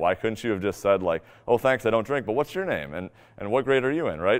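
A man with an American accent speaks with ordinary pitch variation in a quiet setting. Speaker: fitness coach and podcast host. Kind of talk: talk to a live audience, personal story. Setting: live talk to an audience. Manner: loud, projecting voice.

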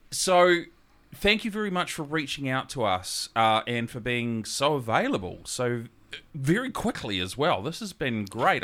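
With a New Zealand accent, a man speaks fairly slowly in a bright, sharp tone at a medium pitch, his voice swinging very widely in pitch, in a very clean recording with a silent background. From New Zealand, Gisborne. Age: 40s. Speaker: podcast host. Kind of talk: casual interview.

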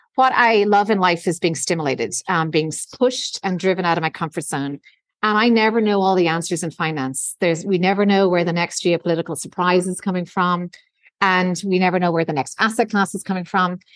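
In an Irish accent, a woman with a medium-pitched voice talks at a fairly quick pace against a quiet background. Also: ordinary pitch variation. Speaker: investment executive. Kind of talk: interview.

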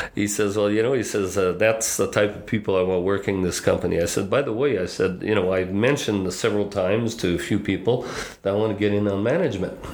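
Very fast delivery from a fairly low-pitched man, fairly even intonation, hardly any pauses, audible room echo and noticeable background noise. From northwestern Quebec, then southern Ontario from 13. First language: French. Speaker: business consultant. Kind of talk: casual interview.

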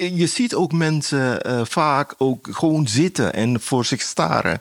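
A man speaks at a very slow pace and a fairly high pitch. His intonation is lively. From Suriname. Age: 60s. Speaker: painter. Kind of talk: interview. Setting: artist's studio.

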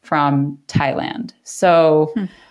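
A woman with a General American accent and a very deep, low pitch. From US, New York-born to Korean immigrant parents. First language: Korean. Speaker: paper maker and artist. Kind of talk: casual interview.

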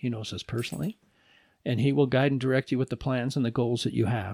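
A man with a medium pitch talks very fast, recorded very cleanly against a silent background with a dry, close sound and no echo. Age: old. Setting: at home.

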